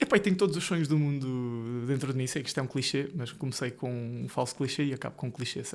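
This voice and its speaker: Speaking in a central Portugal accent, a man goes at a very fast pace. He leaves hardly any pauses, and his pitch varies in an ordinary way. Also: medium pitch for a man. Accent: European Portuguese, central Portugal. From Portugal, Ribatejo (born Marinha Grande). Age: 20s. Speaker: solicitor and business co-founder. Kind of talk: podcast interview. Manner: casual, joking.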